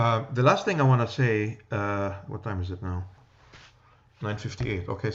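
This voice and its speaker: A man with an American accent, fairly low in pitch and somewhat breathy, at a moderate pace with ordinary pitch variation and long, frequent pauses. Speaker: lecturer, teacher. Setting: classroom lecture.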